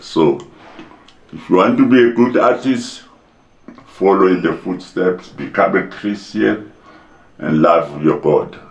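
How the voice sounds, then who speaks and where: A man speaks at a very slow pace, leaving long, frequent pauses. The recording has audible room echo and noticeable background noise. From South Africa, Pretoria. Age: 80s+. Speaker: playwright and actor. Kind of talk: interview. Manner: halting.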